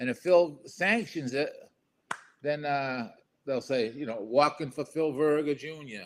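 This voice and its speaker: Someone speaks at a fairly slow pace with a Boston accent. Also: man, fairly high pitch for a man, ordinary pitch variation. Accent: Boston-area New England. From Gloucester, Massachusetts. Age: 60s. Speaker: podcast guest. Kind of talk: casual chat.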